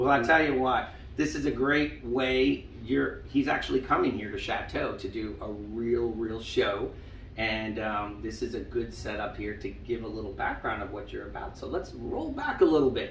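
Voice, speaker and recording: Audible room echo and noticeable background noise accompany a man. He talks at a moderate pace with an American accent. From Long Island, New York. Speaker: senior living staff interviewer. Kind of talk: interview.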